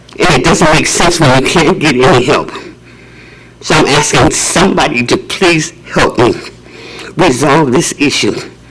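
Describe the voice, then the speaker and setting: The speaker keeps a moderate pace and very even loudness, with ordinary pitch variation, long and frequent pauses, and noticeable background noise. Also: man, fairly high pitch for a man. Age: 80s+. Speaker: public commenter, housing resident. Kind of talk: public comment at board meeting.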